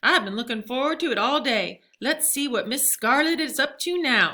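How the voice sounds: Doing a put-on character voice, a woman speaks at a moderate pace, high-pitched, bright and sharp, with lively intonation.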